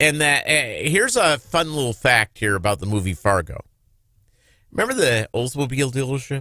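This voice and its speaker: A man with an American accent talks at a moderate pace in a fairly high, bright, sharp voice with lively intonation. The recording is very clean, with a silent background. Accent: slight Minnesota accent, mostly dropped. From Minnesota (Lake Minnetonka). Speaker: talk radio host. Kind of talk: casual chat.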